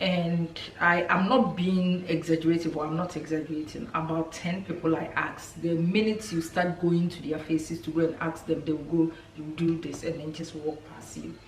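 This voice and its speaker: Hardly pausing, a woman with a fairly low voice talks at a moderate pace and fairly even intonation, with noticeable background noise and audible room echo. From Ghana. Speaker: lifestyle vlogger. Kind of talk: casual vlog talk to camera. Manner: hesitant, many fillers.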